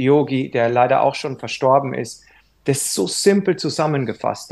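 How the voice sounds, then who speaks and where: A man with an ordinary speaking voice, fairly high-pitched, against a quiet background. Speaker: yoga teacher. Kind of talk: casual chat.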